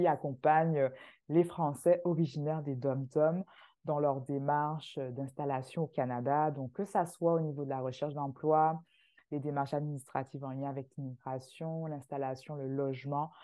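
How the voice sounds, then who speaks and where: At a fairly slow pace, a woman talks with a very deep, low pitch and fairly even intonation. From Martinique. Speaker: immigration agency founder. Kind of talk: casual interview.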